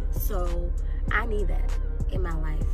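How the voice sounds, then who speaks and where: A woman is speaking. Loud music plays behind her. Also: dry sound with no echo. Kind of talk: casual vlog chat. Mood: happy, excited. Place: car. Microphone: phone near.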